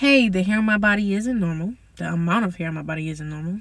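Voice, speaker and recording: A woman talks at a fairly quick pace, her intonation lively. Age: 20s. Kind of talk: casual talk to camera.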